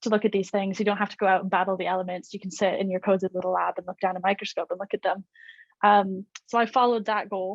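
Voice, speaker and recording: A woman talks at a very fast pace and medium pitch in a Canadian accent, with monotone, flat intonation. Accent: Canadian, may sound American. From Canada, Nova Scotia (Cape Breton). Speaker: malaria researcher. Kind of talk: online educational talk with slides. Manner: casual, many filler ums.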